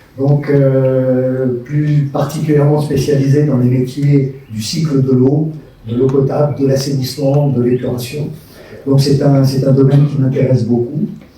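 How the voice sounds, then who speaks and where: Amid noticeable background noise and audible room echo, a man with a fairly high pitch talks at a fairly slow pace in a monotone, flat intonation. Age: 60s. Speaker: retired business executive, municipal candidate. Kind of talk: public meeting self-introduction. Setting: public meeting with audience.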